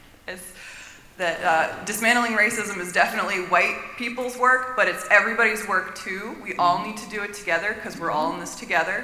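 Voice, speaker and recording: Someone with an American accent speaks over noticeable background noise. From Florida, US South. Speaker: audience member asking a question. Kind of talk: audience comment at panel Q&A. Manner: casual, filler-heavy.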